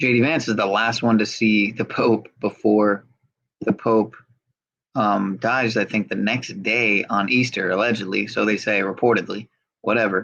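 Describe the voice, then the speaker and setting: In an unremarkable speaking voice, a man with a fairly low pitch talks at a moderate pace with fairly even intonation and very even loudness. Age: 30s. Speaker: livestream host. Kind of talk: casual livestream commentary.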